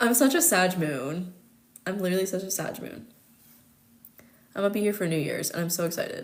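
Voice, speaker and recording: A woman with an American accent talks at a fairly quick pace with lively intonation. She leaves long, frequent pauses, and the room echo is audible. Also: medium pitch for a woman. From United States. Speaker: astrologer. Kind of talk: casual chat. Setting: live stream. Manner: fast.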